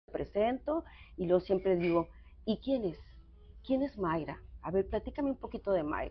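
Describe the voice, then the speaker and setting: Her intonation is lively and her medium-pitched voice carries vocal fry. The woman talks at a moderate pace with long, frequent pauses. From northwest Mexico (San Luis Río Colorado, Sonora). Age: 60s. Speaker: thanatologist psychotherapist. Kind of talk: interview conversation. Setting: café. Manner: hesitant, many fillers.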